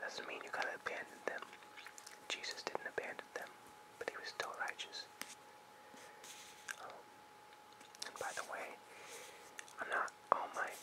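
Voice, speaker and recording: Someone whispers at a moderate pace, with long, frequent pauses. Noticeable background noise sits behind the voice. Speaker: ASMR artist. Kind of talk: casual talk to camera. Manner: whispered.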